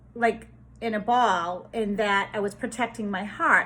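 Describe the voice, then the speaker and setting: With a Boston accent, a woman speaks at a fairly slow pace and fairly high pitch, her pitch variation ordinary. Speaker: spiritual healer. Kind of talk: casual spiritual monologue. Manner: hesitant with fillers.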